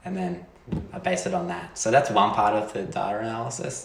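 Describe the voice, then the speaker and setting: Over noticeable background noise and audible room echo, a man with an Australian accent speaks at a moderate pace in a fairly low voice with very wide pitch swings. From Australia, rural Victoria. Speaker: PhD student. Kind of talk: casual chat.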